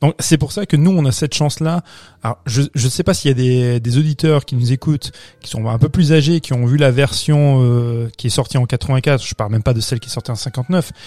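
A man's dark, mellow, somewhat breathy voice, dry and close with no echo. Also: medium pitch for a man, ordinary pitch variation, moderate pace. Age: 30s. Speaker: film podcast panelist. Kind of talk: casual chat.

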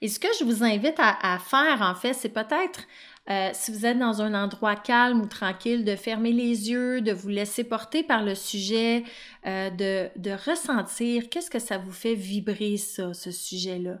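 With a Quebec accent, a woman speaks at a fairly slow pace, her pitch fairly high and ordinarily varied. The recording is very clean, with a silent background. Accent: Québécois French. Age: 30s. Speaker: life coach and podcast host. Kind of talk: solo podcast monologue.

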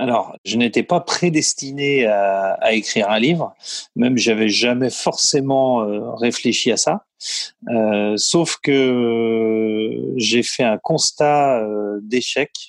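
At a very slow pace, a man talks at a medium pitch with ordinary pitch variation and very even loudness. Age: 30s. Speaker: building business owner and property investor. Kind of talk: interview. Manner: hesitant, many fillers.

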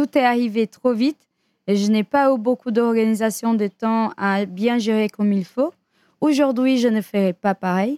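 A woman's fairly high, dark and mellow voice, fairly slow, with ordinary pitch variation, very even loudness and a dry, close sound with no echo. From Brazil. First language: Portuguese (speaking French). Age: 30s. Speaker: dancer and dance teacher. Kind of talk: interview.

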